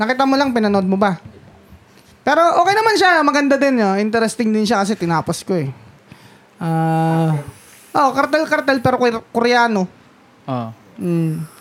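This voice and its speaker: Her pitch fairly high and swinging very widely, a woman speaks at a moderate pace. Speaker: podcast co-host. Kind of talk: casual chat.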